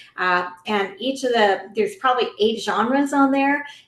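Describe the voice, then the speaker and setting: A woman's lively intonation and moderate pace come through over noticeable background noise. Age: 60s. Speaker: anti-trafficking advocate and author. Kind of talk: podcast interview.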